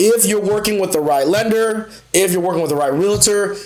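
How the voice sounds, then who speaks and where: Against audible room echo and noticeable background noise, a man talks in an animated tone with ordinary pitch variation. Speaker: mortgage loan officer. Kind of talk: live stream tutorial. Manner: fast; casual, animated.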